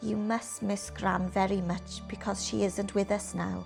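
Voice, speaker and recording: Background music plays throughout. A woman talks over it at a fairly slow pace. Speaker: actress and storyteller. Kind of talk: children's picture book reading.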